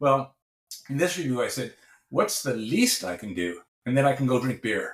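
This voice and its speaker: A man speaks at a moderate pace with lively intonation and vocal fry. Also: medium pitch for a man. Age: 60s. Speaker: professor and researcher. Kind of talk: podcast interview.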